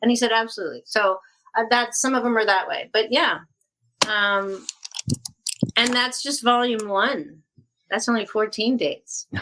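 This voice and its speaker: A woman's fairly high voice with a bright, sharp tone and ordinary pitch variation, at a moderate pace with long, frequent pauses. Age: 60s. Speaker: actress and author. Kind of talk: casual chat. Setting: podcast.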